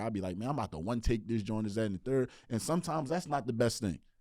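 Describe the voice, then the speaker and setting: The man's voice is dark and mellow in tone, medium in pitch, with ordinary pitch variation. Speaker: rapper and therapist. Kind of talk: podcast interview. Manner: casual.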